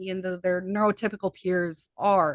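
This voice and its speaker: Flat, monotone intonation in a Midwestern American accent, with a dry, close sound and no echo. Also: woman. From US Midwest. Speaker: hypnotherapist and healer. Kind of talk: interview conversation. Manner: fast.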